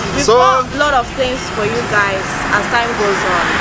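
Speech at a moderate pace comes through loud background noise. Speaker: vlogger. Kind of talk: casual vlog chat. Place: street. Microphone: phone near.

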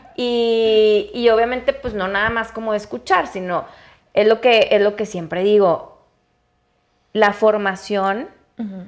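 A woman at a very slow pace with a fairly high pitch, fairly even intonation and long, frequent pauses, over a quiet background. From Mexico, Chihuahua. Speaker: cannabis entrepreneur and activist; podcast guest. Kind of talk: interview conversation. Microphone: lapel.

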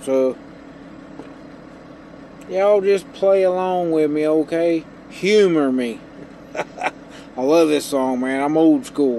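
A man speaks at a very slow pace with lively intonation and long, frequent pauses, the sound dry with no echo and light background noise behind him. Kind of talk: casual vlog chat. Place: car. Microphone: phone near.

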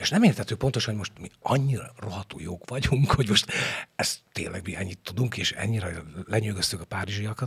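A man speaks at a fairly quick pace with a fairly low pitch. His loudness swings widely. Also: ordinary pitch variation. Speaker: stage actor; stage actor, podcast guest. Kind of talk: interview; interview answer. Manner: halting. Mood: thoughtful, animated. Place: studio. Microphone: studio mic.

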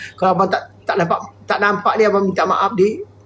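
Against noticeable background noise, a man's speech runs at a fairly quick pace. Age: 50s. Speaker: livestreamer. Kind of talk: live stream chat. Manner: halting.

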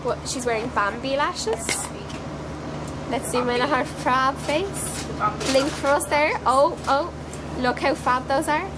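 Noticeable background noise runs under this woman's voice. She talks at a fairly slow pace with long, frequent pauses. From Ireland. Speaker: makeup student. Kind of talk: casual vlog talk to camera. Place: train. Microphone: phone near.

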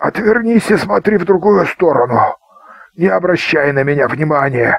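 A man puts on a character voice, fairly high-pitched with lively intonation, vocal fry and a slightly husky edge. He keeps a moderate pace, the sound dry and close with no echo.

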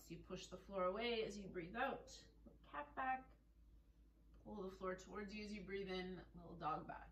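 With audible room echo and light background noise, a woman speaks at a moderate pace with ordinary pitch variation. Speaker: fitness instructor. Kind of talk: guided floor movement class with relaxation cues. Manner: calm, clear, step-by-step instructions in an even, soothing pace; soft and gentle when guiding relaxation. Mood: calm, gentle. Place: home room. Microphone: camera far.

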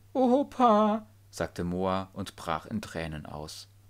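This man's voice sits fairly low in pitch. The recording is very clean, with a silent background. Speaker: audiobook narrator. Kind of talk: audiobook reading of a children's story; dramatic narration with tense, suspenseful delivery. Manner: animated, varying pace and pitch for suspense.

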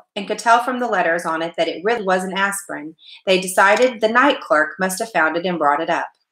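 Someone reads the text aloud in a natural voice.

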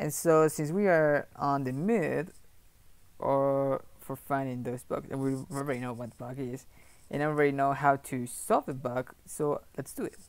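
Ordinary pitch variation from a man, at a fairly slow pace. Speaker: programmer streamer. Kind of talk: casual live stream chat. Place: home room.

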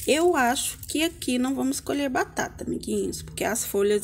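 A woman's voice over light background noise. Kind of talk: casual vlog chat. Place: garden. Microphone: phone near.

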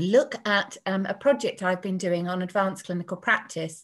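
Somewhat breathy and at medium pitch, a woman speaks at a moderate pace on a very clean recording with a silent background. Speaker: nursing academic. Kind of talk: lecture. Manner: hesitant, many fillers.

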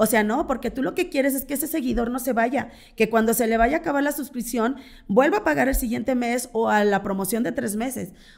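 High-pitched and quick, a woman speaks at a fairly quick pace with ordinary pitch variation. The background is quiet. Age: 40s. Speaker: content creator and swinger party organizer; content creator. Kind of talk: casual interview. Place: studio. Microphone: studio mic.

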